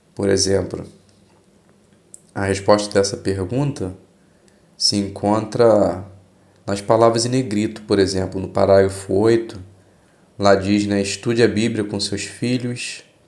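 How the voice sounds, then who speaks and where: Fairly low male voice, flat and monotone, at a fairly slow pace with long, frequent pauses and audible room echo. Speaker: Bible study channel host. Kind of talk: religious study explanation. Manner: informal, conversational.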